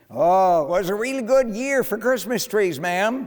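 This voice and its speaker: Using a put-on character voice pitched high for a man, he speaks at a moderate pace in a very clean recording with a silent background. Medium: read story.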